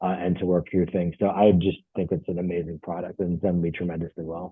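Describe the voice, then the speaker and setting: This man's voice is very deep and low in pitch. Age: 50s. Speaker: product distributor. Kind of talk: testimony. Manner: halting, many fillers.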